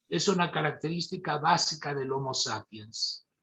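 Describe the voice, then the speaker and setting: A man's lively intonation stands out against his fairly slow pace. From Argentina, Mendoza. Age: 70s. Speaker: neurosurgeon. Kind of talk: lecture.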